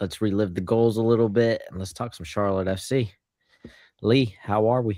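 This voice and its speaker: A dark, mellow tone with fairly even intonation at a moderate pace, in a very clean recording with a silent background. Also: man, fairly low pitch for a man. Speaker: soccer fan podcast host. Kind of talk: casual chat.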